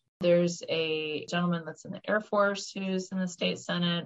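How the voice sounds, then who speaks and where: This woman has an ordinary speaking voice, fairly low in pitch. She talks at a fairly quick pace with fairly even intonation. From Florida, Orlando. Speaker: state senator, nurse practitioner, navy veteran. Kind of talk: interview.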